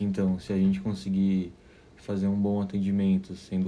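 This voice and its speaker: This man's pitch is very deep and low. His tone is dark and mellow. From southern Brazil, Caxias do Sul, Rio Grande do Sul. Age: 20s. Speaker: architecture student and waiter. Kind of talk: interview. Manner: halting, many fillers.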